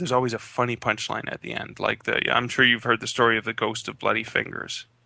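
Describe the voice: Simple, plain reading aloud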